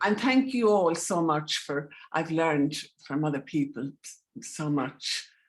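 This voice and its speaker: Speaking at a fairly slow pace, a woman with a very deep, low pitch uses lively intonation and big swings in loudness. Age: 70s. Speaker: participant. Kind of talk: casual chat. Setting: video call. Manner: halting.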